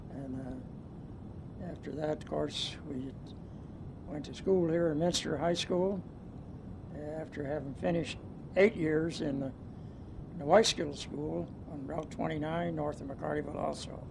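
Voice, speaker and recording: A man speaks at a fairly slow pace, his loudness swinging widely, with noticeable background noise and audible room echo. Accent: American. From US Midwest, western Ohio. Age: 70s. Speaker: retired businessman. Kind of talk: oral history interview. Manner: halting, many fillers.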